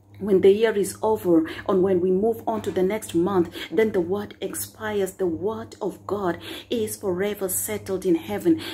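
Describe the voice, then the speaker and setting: Over light background noise, a woman talks at a moderate pace with hardly any pauses and ordinary pitch variation. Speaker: preacher sharing a prophetic word. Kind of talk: sermon. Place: home room. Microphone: phone near.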